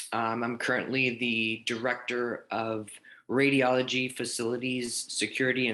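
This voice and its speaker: Over a quiet background, a man with a medium pitch speaks in a bright, sharp tone with monotone, flat intonation. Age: 30s. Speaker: healthcare director. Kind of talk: panel discussion.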